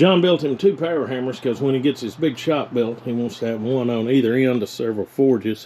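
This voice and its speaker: A man speaks in a strong Southern accent. Noticeable background noise runs behind him. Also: medium pitch for a man, ordinary pitch variation, fairly quick pace, hardly any pauses. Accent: strong local Southern dialect. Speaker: blacksmithing YouTuber. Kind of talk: casual vlog talk.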